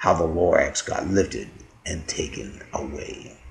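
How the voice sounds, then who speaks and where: Whispering at a moderate pace, a man puts on a character voice. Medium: read story.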